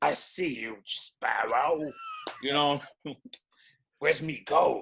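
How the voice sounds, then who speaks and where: A put-on character voice, raspy and at a middle pitch, comes through. It moves at a very slow pace. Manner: threatening.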